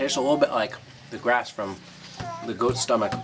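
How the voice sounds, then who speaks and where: A man speaks while noticeable background noise carries on behind him. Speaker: Peace Corps volunteer. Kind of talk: casual talk to camera. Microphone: camera far.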